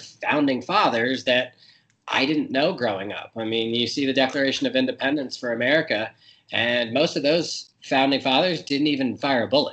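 Here a man talks at a fairly quick pace in an unremarkable speaking voice. His pitch is medium, with ordinary variation. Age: 30s. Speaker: guest. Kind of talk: interview.

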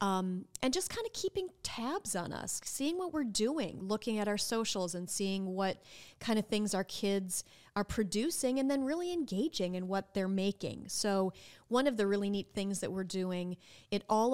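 In a normal speaking voice with an American accent, a woman talks at a moderate pace with medium pitch and ordinary pitch variation, on a very clean recording with a silent background. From Minnesota. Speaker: nonprofit executive director. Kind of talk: casual interview.

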